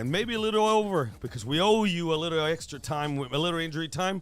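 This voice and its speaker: With music in the background, a man speaks very fast in an animated tone, his fairly high pitch moving with lively intonation. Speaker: sports betting show host. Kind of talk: live call-in show.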